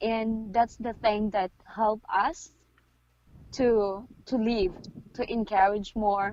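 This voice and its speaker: A woman speaks fairly slowly in a fairly high pitch. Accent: Filipino. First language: Filipino. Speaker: midwife. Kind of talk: interview.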